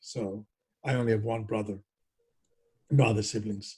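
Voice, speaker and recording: At a moderate pace, a man talks in a somewhat breathy, medium-pitched voice with fairly even intonation. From Greece, Thessaloniki. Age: 70s. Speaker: biotech executive and scientist. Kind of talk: oral history interview.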